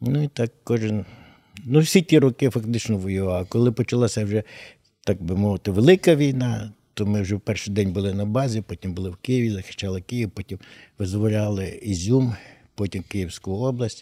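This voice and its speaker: Fairly low male voice with a dark, mellow tone and ordinary pitch variation at a moderate pace, on a very clean, dry, close recording with no echo and a silent background. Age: 60s. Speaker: war veteran, painter and writer. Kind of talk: interview conversation.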